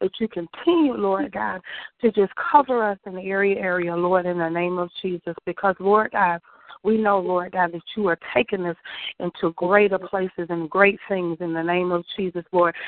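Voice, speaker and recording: A woman with a plain, everyday voice, at a moderate pace and medium pitch with ordinary pitch variation. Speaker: prayer participant. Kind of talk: fervent prayer.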